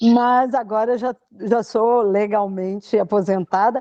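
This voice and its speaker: Pitch moves in an ordinary way. The voice has a dark, mellow tone. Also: woman. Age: 60s. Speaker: podcast guest, retired financial analyst. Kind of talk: casual interview.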